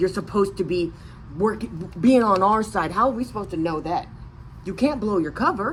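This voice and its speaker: An animated woman with an American accent speaks at medium pitch, showing vocal fry and ordinary pitch variation. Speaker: vlogger. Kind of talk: casual rant to camera. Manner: animated, halting with many restarts.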